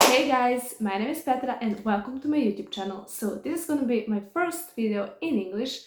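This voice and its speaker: A woman with a Serbian accent talks in a high voice with lively intonation and hardly any pauses, over noticeable background noise. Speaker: vlogger. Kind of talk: personal testimony. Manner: halting.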